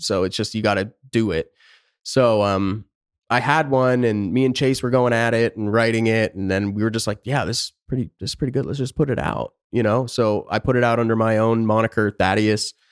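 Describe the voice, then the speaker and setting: Speaking with an American accent in a plain, everyday voice, a man talks at a fairly quick pace and medium pitch with fairly even intonation, the sound dry and close with no echo on a very clean recording with a silent background. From Pennsylvania. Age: 30s. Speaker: rock guitarist and producer. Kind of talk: casual interview chat.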